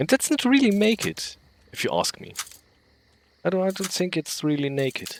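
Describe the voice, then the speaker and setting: With a German accent, a high-pitched man talks with very wide pitch swings and long, frequent pauses. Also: moderate pace, big swings in loudness, dry, close sound with no echo. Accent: German accent, self-described as awful. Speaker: game streamer. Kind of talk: gaming livestream commentary. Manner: halting, searching for words.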